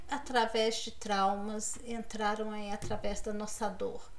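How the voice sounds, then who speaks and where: A woman speaks with a Brazilian accent and ordinary pitch variation. Audible room echo surrounds her voice. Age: 50s. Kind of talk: devotional talk. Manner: warm, encouraging.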